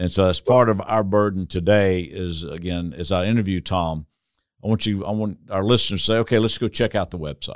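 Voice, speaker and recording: A man with a Southern US accent speaks in a very deep, low pitch with ordinary pitch variation. The sound is dry and close with no echo, on a very clean recording with a silent background. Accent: Southern US drawl. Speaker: church consultant podcast host. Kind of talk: interview, podcast conversation. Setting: video podcast recording.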